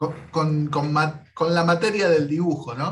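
Over light background noise, a man with a fairly high pitch speaks at a fairly slow pace in a somewhat breathy voice. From Argentina. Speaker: YouTube interviewer, comic artist. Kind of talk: casual interview. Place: home room. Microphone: video call.

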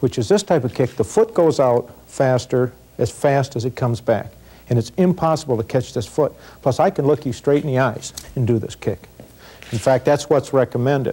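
A man speaks at a moderate pace in a dark, mellow tone. His voice is somewhat breathy, with ordinary pitch variation. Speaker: self-defense instructor. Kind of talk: tutorial. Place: studio. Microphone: lapel.

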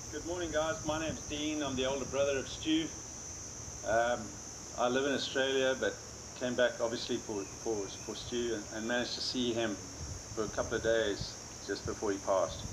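A man at a fairly quick pace with ordinary pitch variation, under noticeable background noise. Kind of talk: memorial speech. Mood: somber, warm. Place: garden. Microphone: camera far.

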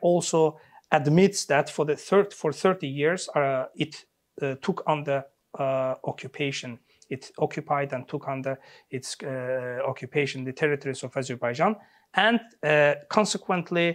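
At a moderate pace, a man talks with ordinary pitch variation against a quiet background. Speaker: interview guest, political commentator. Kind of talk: interview answer. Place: studio. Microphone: lapel.

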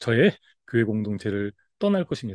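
A man speaks at a very slow pace, his pitch swinging very widely. The background is quiet and the sound is dry with no echo. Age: 50s. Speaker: pastor and reading educator; pastor, reading educator. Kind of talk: talk-to-camera lecture. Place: home room. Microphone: webcam.

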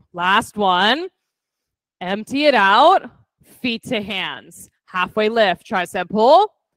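A woman speaks very slowly in a fairly high voice. The sound is dry with no echo, and the background is quiet. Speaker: fitness instructor. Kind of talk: guided yoga class, cueing poses. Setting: in-person studio class with online participants. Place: gym.

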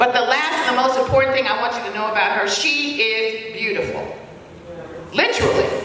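A woman with a high pitch talks at a fairly quick pace in a raised, projected voice. Strong room echo and light background noise are present. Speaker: community leader. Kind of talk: award presentation speech. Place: hall.

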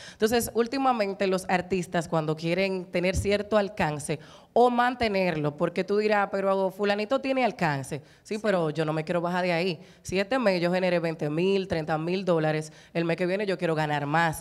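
Her pace is moderate, and a woman's pitch varies in an ordinary way. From Dominican Republic, San Pedro de Macorís; Dominican Republic. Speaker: broadcaster and voice-over artist; talk show panelist. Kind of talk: casual chat. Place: studio. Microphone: handheld.

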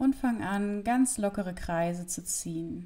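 A woman speaks very slowly in a dark, mellow tone that is somewhat breathy. Her pitch varies in an ordinary way. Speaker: yoga instructor. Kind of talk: yoga class instruction. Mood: calm, friendly, relaxing. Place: home room. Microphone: lapel.

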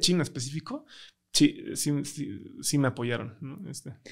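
A man with a Mexican accent against a quiet background. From Mexico. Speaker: tech startup founder; podcast guest. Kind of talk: interview conversation. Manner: hesitant, many fillers. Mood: relaxed, reflective. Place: studio. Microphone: studio mic.

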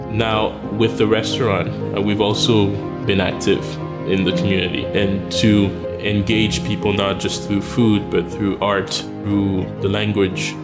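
Loud music plays in the background as a man speaks at a fairly slow pace. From Haiti. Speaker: restaurant co-owner. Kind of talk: documentary interview answer. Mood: warm, reflective. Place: cafe. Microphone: lapel.

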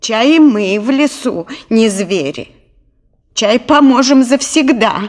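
In a put-on character voice that sounds female, the speaker uses a fairly high pitch at a fairly slow pace with long, frequent pauses. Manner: cackling, cunning.

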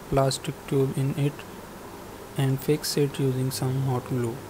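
Over noticeable background noise, a man talks at a fairly slow pace with a fairly high pitch. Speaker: DIY project video maker. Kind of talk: tutorial voice-over.

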